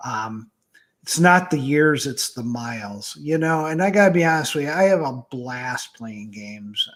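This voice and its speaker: This man has an ordinary speaking voice, fairly high in pitch, with lively intonation. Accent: American. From Michigan. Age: 60s. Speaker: author and game writer. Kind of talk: interview.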